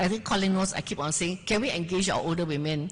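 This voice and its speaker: A woman talks at a fairly quick pace with a fairly low pitch. Her voice is somewhat breathy. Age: 70s. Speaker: journalist, festival panelist. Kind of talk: panel discussion. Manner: animated.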